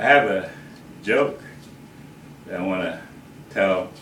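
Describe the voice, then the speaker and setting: There is audible room echo as the man talks. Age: 60s. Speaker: grandfather giving a family message. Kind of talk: recorded personal speech with a joke. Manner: hesitant, with frequent fillers.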